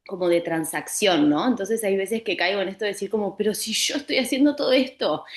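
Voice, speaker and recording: Speaking very fast with hardly any pauses, a woman uses lively intonation over noticeable background noise. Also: medium pitch for a woman. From Uruguay. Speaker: participant. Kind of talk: question in Bible study. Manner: halting.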